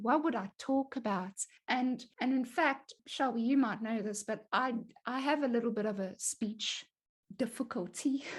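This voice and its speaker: A woman with a fairly high, somewhat breathy voice speaks at a moderate pace over a quiet background. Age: 30s. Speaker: podcast host. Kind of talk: casual chat. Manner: halting.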